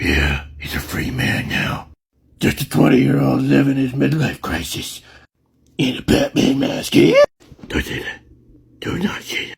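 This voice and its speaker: In a raspy, put-on character voice, a man speaks with long, frequent pauses. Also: moderate pace. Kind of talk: comedy skit. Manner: erratic, yelling.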